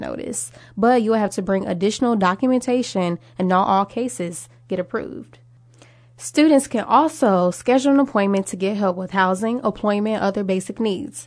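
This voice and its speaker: The speaker has an ordinary speaking voice with lively intonation. The pace is fairly quick. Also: woman. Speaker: student radio news anchor. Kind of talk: scripted radio newscast. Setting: campus radio studio. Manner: even, polished newsreader delivery.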